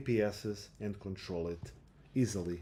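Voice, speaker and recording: A speaker with a Portuguese accent talks very slowly in a dark, mellow tone, with ordinary pitch variation. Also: man. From Portugal. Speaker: software developer live streamer. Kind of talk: live stream coding chat. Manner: casual, hesitant with fillers.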